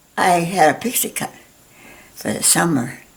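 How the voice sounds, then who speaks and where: A woman's voice over noticeable background noise. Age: 90s. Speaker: painting teacher. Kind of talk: tutorial. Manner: halting.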